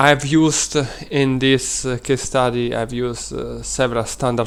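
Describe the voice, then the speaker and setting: Speaking with an Italian accent, a man keeps his intonation fairly even. His pace is fairly slow. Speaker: data science student. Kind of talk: presentation. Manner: halting.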